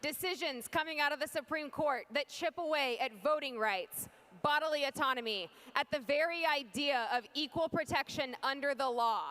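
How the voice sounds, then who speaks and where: A woman speaks with an American accent in a raised, projected voice. Her pitch is high with ordinary variation, and the sound is dry and close with no echo. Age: 20s. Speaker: political candidate. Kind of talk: political speech. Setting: stage with audience. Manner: formal.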